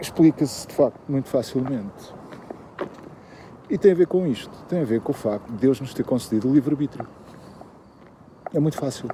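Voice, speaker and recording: Against noticeable background noise, a man with a European Portuguese accent speaks at a medium pitch and moderate pace, with ordinary pitch variation and long, frequent pauses. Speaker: YouTuber commentator. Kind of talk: improvised monologue. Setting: walking the dog, at night. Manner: hesitant, many fillers.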